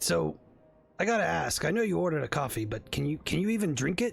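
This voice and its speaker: A man's raspy, put-on character voice, fairly high in pitch with very wide pitch swings, rushing at a very fast pace over music in the background. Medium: actual play.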